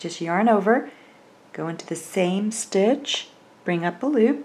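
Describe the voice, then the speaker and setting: A woman's calm, medium-pitched voice with an American accent, lively intonation, and a fairly slow pace. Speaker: crochet instructor. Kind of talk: tutorial. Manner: calm, step-by-step instructional.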